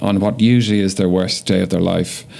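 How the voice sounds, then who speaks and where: A man with a fairly low pitch speaks with an Irish accent over noticeable background noise. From Ireland, Dublin. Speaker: emergency physician. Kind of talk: podcast interview.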